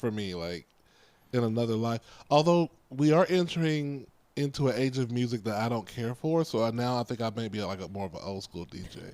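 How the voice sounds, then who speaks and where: Here is a man with an ordinary speaking voice at medium pitch. He talks at a fairly quick pace with lively intonation. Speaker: podcast co-host. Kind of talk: casual chat.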